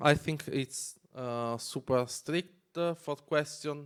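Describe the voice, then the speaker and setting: In a very clean recording with a silent background, a man with an Italian accent speaks at a fairly high pitch with ordinary pitch variation. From Italy. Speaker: developer advocate. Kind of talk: conference talk. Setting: stage with audience. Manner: halting.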